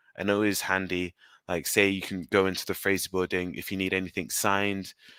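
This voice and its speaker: With a London accent, a man talks at a fairly quick pace in a very deep, low pitch, his bright, sharp tone monotone and flat, on a very clean recording with a silent background. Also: dry, close sound with no echo. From England, London. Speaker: student union officer. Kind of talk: live Q&A answer.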